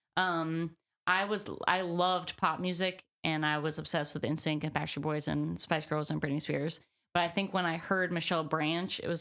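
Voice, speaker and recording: This woman has an unremarkable speaking voice with an American accent and a fairly low pitch. She talks at a moderate pace with fairly even intonation. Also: very clean recording, silent background. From US South, Birmingham, Alabama. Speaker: singer-songwriter. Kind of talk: interview. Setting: on camera interview. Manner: casual, many fillers.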